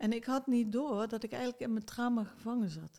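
A woman talks at a fairly slow pace. Her voice is fairly high in pitch, with a dark, mellow tone. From Netherlands, South Limburg (near Heerlen). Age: 60s. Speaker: psychologist and author. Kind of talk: interview conversation. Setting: basement studio.

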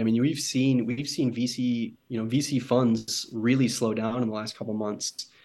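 An American-accented man talks at a medium pitch and moderate pace, with fairly even intonation and hardly any pauses. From US Midwest, Michigan. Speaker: sustainable fashion startup co-founder. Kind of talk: casual interview.

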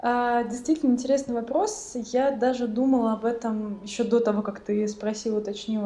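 Speaking at a fairly slow pace, a woman with a high pitch shows ordinary pitch variation. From Russia, central Moscow. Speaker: refugee guest. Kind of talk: casual chat.

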